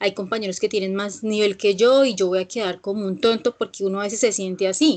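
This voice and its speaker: A fairly quick woman's voice pitched fairly high, its pitch varying in an ordinary way. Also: quiet background. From Colombia, Villavicencio (Meta). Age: 20s. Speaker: English teacher. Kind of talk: online class. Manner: hesitant, with fillers.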